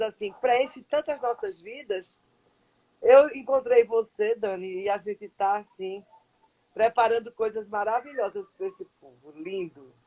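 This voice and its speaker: A woman's fairly high, lively voice, a plain, everyday voice, in a dry, close sound with no echo. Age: 60s. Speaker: psychologist. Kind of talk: live stream interview. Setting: online live stream.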